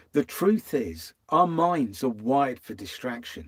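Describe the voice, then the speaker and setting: Here a man talks at a fairly slow pace. His pitch is fairly high and swings very widely. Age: 60s. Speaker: vanlife vlogger. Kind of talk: live stream talk. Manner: casual, conversational.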